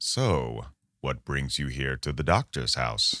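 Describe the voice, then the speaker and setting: A man speaks in a put-on character voice with a very deep, low pitch. His pace is fairly slow. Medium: audio drama. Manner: polite on the surface, menacing underneath.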